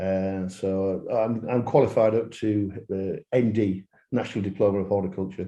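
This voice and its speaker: With a Yorkshire accent, a man speaks at a moderate pace and a fairly low pitch, using a dark, mellow tone and fairly even intonation. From northern England, Yorkshire. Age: 60s. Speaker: landscaping business owner. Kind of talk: podcast interview.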